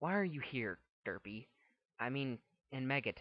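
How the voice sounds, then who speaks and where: A man puts on a character voice at a medium pitch. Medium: read story.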